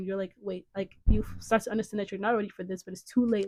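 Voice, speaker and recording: A woman at a very fast pace, with fairly even intonation. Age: young. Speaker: podcast co-host. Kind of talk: casual podcast discussion. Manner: rambling, filler-heavy.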